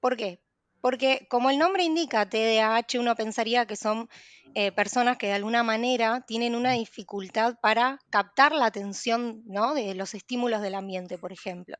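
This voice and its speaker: A woman with an unremarkable speaking voice, fairly high pitch, ordinary pitch variation, and moderate pace, dry and close with no echo over a quiet background. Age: 20s. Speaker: psychologist. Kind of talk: expert interview explanation.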